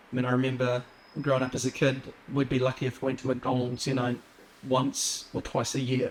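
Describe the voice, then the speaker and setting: A man's medium-pitched voice in a New Zealand accent, fairly quick and monotone with flat intonation, over noticeable background noise. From New Zealand, Wellington (arrived as young refugee). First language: Assyrian. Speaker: police officer. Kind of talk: interview. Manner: hesitant, many fillers.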